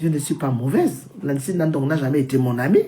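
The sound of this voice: Against audible room echo, a woman speaks fairly quickly in a low, dark, mellow voice with ordinary pitch variation.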